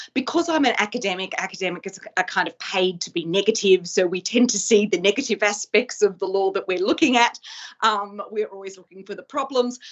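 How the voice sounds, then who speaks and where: A woman with an Australian accent talks at a fairly quick pace with ordinary pitch variation. Her loudness swings widely over noticeable background noise. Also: medium pitch for a woman. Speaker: law professor. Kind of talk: lecture. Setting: video call. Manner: fast.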